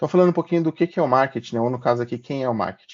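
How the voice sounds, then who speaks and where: A man at a medium pitch with ordinary pitch variation. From Brazil, moved between many cities. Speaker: marketing professional presenting a workshop. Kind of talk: workshop presentation. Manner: casual, with many filler words.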